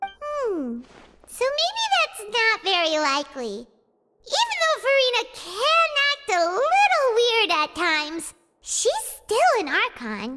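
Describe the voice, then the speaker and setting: In a squeaky, put-on character voice at an extremely high pitch, someone speaks at a fairly slow pace with very wide pitch swings. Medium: video game. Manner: energetic, casual.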